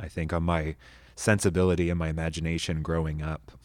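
A man with an American accent and a very deep, low pitch, at a moderate pace, on a very clean recording with a silent background. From North Texas (Amarillo). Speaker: pastor and high school teacher. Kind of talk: casual interview chat.

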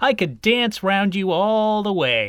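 A man puts on a character voice, high-pitched with big pitch swings. He speaks slowly, his tone clear, smooth and fairly bright.

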